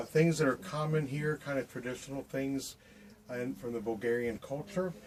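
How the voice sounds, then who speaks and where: Over noticeable background noise, a man with an American accent talks at a moderate pace, his fairly high pitch showing ordinary variation. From Ohio, USA. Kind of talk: devotional talk to camera. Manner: casual, hesitant.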